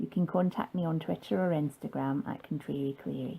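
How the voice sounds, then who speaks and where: A woman's very deep, low voice with a Scottish accent, dark, mellow tone, very wide pitch swings and fairly quick pace, on a very clean recording with a silent background. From Scotland. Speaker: fan vlogger. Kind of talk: scripted narration.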